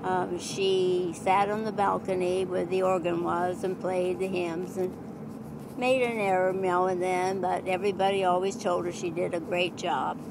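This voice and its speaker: There is noticeable background noise in this recording. A woman speaks at a fairly slow pace. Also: medium pitch for a woman, fairly even intonation, hardly any pauses. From Iowa, USA. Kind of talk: family storytelling. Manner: hesitant, reflective.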